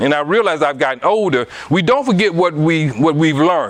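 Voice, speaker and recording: Over noticeable background noise, a man with an American accent talks at a fairly quick pace in a high pitch with lively intonation. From US South, Anniston, Alabama. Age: 60s. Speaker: guest speaker on relationships. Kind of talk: casual interview talk.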